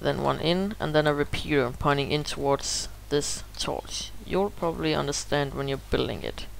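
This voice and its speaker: Someone speaks at a moderate pace with hardly any pauses over noticeable background noise. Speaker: gaming tutorial youtuber. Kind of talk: tutorial.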